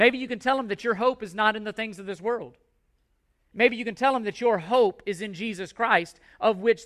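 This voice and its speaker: A man's high-pitched voice with ordinary pitch variation, on a very clean recording with a silent background. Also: big swings in loudness, dry, close sound with no echo. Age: 40s. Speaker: pastor. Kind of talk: sermon. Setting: church. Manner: loud; passionate.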